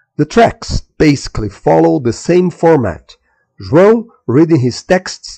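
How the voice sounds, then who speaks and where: With a Portuguese accent, this speaker talks at a fairly slow pace in a dark, mellow, somewhat breathy tone with very wide pitch swings, and the sound is dry and close with no echo. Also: man. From Brazil. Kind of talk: news bulletin read.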